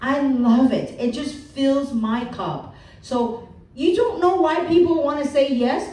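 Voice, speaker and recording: A woman's high-pitched, animated voice with lively intonation and a fairly slow pace, amid audible room echo and noticeable background noise. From Hong Kong, moved to the US as a child. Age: 50s. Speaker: motivational speaker. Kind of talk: seminar talk.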